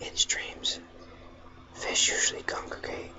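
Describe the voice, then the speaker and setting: A whisper comes at a very slow pace over noticeable background noise. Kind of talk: audiobook reading; ASMR. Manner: whispered.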